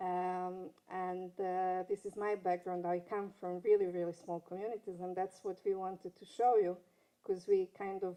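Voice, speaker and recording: Speaking at a moderate pace, a woman with a non-native accent uses a medium pitch, a dark, mellow tone and monotone, flat intonation. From Serbia (Belgrade), former Yugoslavia. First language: Serbo-Croatian. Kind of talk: panel talk. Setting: conference stage with audience. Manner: halting.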